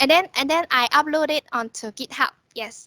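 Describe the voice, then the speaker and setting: Raised and projected, a woman's voice has a bright, sharp tone at a fairly slow pace, with a dry, close sound and no echo. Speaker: workshop speaker. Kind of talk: tutorial. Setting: video call.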